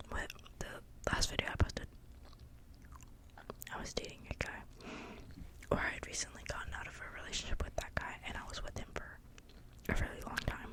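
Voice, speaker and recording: Whispering at a fairly quick pace, the speaker pauses long and often, with big swings in loudness and noticeable background noise. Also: woman. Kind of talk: casual talk to camera. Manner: whispered.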